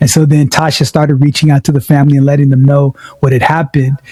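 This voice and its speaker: A man with an American accent talks in a flat monotone at a fairly high pitch. The sound is dry and close with no echo, though there is noticeable background noise. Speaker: podcast co-host. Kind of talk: casual chat.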